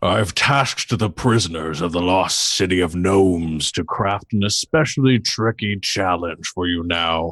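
Using a put-on character voice, a man talks at a fairly slow pace over a quiet background. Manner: menacing, gloating.

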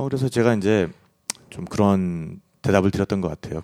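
The man's voice sits fairly low in pitch and has a dark, mellow tone. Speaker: travel podcast host and producer. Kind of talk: casual chat.

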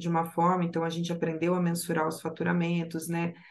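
Her pace is fairly quick. The woman's voice is fairly low in pitch. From Rio Grande do Sul, Brazil. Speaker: project analyst. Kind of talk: podcast interview.

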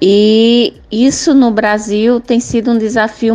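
A woman's fairly high voice at a very slow pace. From Cabrobó, Pernambuco, Brazil. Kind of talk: recorded testimony. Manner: halting.

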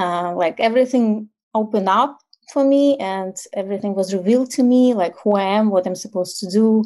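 In a Ukrainian accent, a woman speaks at a moderate pace. Her pitch is medium and her intonation fairly even. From Ukraine. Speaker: intimacy and tantra coach. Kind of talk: interview.

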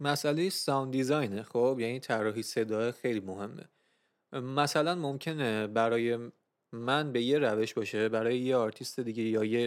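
On a very clean recording with a silent background, a man with an unremarkable speaking voice talks at a fairly quick pace and medium pitch with ordinary pitch variation. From Iran. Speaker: music podcast host. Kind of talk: casual chat.

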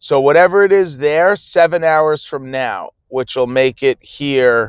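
Someone with an American accent speaks at a fairly slow pace with ordinary pitch variation, the sound dry and close with no echo and the recording very clean against a silent background. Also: man. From New Jersey. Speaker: livestream podcaster. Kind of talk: casual live chat. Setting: on the way to work. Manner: hesitant, many fillers.

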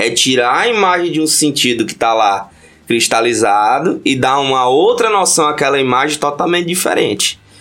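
Using lively intonation at a moderate pace, a man with fairly high pitch speaks in an ordinary speaking voice. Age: 30s. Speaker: podcast guest, punk fan and history researcher. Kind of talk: casual chat.

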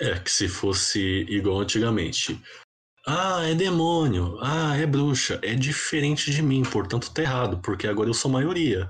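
Somewhat breathy and very even in loudness, a man talks at a moderate pace while his pitch swings very widely. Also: medium pitch for a man. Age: 20s. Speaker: podcast host. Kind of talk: casual chat.

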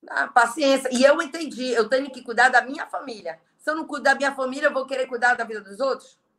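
Talking very fast with hardly any pauses, a woman uses a high pitch, ordinary pitch variation and big swings in loudness. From Brazil, Belém (Pará). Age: 40s. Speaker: network marketing leader. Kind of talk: interview on a live stream. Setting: video live stream.

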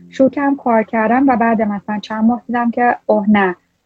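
Fairly high-pitched female voice with music in the background. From Iran. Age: 30s. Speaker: machine learning scientist. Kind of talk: casual interview.

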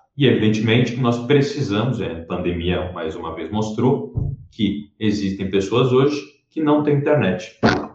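A man's somewhat breathy, fairly low voice with lively intonation, a fairly slow pace, hardly any pauses and audible room echo. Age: 20s. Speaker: politician. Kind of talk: interview.

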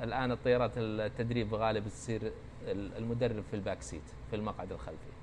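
A man speaks at a moderate pace in a medium-pitched voice with vocal fry and fairly even intonation. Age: 50s. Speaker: retired fighter pilot. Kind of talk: interview. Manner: halting.

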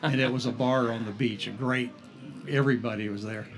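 A man's medium-pitched voice in an American accent, with fairly even intonation and audible room echo. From northeast Florida, St. Augustine. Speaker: artist and restaurant owner. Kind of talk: casual interview. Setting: on location at a cafe.

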